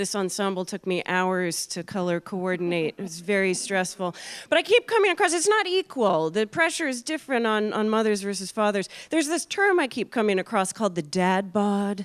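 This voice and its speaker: A woman with a normal speaking voice and an American accent, medium in pitch, with lively intonation at a fairly quick pace, hardly any pauses, against a quiet background. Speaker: comedian. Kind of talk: stand-up. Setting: stage with audience.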